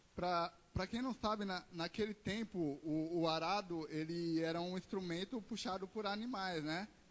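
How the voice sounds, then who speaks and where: A man with a high pitch, ordinary pitch variation and a fairly slow pace. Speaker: preacher. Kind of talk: sermon. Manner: halting, frequent repetitions.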